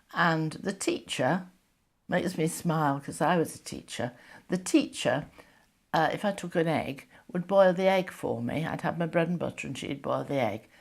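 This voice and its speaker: A woman with a northern English accent talks at a moderate pace and a fairly low pitch, her intonation lively and touched with vocal fry. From northern England, Yorkshire. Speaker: retired teacher sharing wartime memories. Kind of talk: oral history interview. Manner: halting, many fillers.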